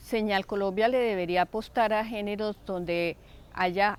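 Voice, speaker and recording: A woman's medium-pitched voice moves fairly slowly, its intonation fairly even. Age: 60s. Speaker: television viewer. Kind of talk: interview testimony. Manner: thoughtful with hesitations.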